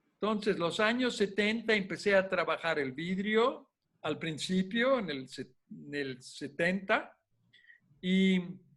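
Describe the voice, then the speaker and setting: Intonation rises and falls in a lively way while the pace stays very slow. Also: man, high pitch for a man. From Italy, Rome. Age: 80s+. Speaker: glass artist. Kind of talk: interview. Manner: halting.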